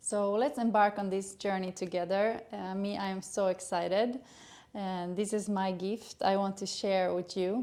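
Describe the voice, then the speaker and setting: A woman speaks with a Swedish accent at a medium pitch and a moderate pace. Her tone is dark and mellow, with monotone, flat intonation. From Sweden. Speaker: gynecologist. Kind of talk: educational channel introduction. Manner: hesitant, many filler sounds.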